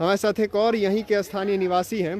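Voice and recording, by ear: This man talks at a fairly quick pace in a high voice with a slightly mellow tone and little pitch movement.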